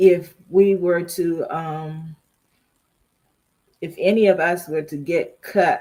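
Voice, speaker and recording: A woman with an American accent speaks at a fairly low pitch in a flat monotone, her loudness swinging widely, with long, frequent pauses. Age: 60s. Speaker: livestream host. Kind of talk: casual chat. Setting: livestream with live chat. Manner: halting.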